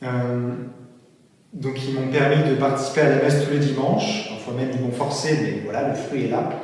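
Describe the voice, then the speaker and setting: The voice moves at a moderate pace with fairly even intonation, amid noticeable background noise and audible room echo. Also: man, fairly high pitch for a man. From Brittany, France. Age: 20s. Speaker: seminarian. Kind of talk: testimony. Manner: halting, with fillers.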